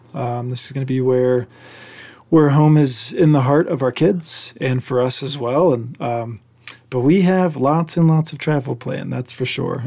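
A man with an American accent has an unremarkable speaking voice at a fairly high pitch. He keeps a moderate pace and fairly even intonation. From Oklahoma, rural. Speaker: digital creator. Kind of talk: casual chat.

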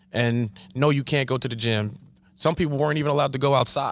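Using fairly even intonation, a man speaks with a Long Island accent at a fairly high pitch. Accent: New York (Long Island). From Long Island, New York. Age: 40s. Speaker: basketball coach. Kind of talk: casual chat.

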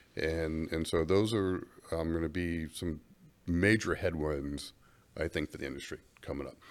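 In a very clean recording with a silent background, a man with an American accent talks at a moderate pace in a very deep, low pitch. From Florida, US South. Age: 50s. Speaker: trade association chief executive. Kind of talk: interview. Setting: studio.

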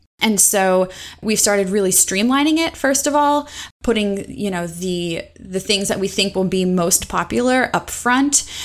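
On a very clean recording with a silent background, a woman speaks fairly slowly in an unremarkable speaking voice at medium pitch. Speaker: instructional designer. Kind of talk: casual interview chat.

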